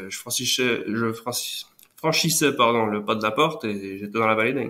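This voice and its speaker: This man's tone is bright and sharp. His pitch sits in the middle range. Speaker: nature photographer. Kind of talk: casual interview. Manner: halting, hesitant.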